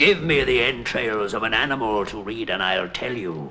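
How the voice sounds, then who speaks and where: Over clear background noise, a man does a cartoonish character voice at a medium pitch, moving at a moderate pace with lively intonation. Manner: theatrical, pompous.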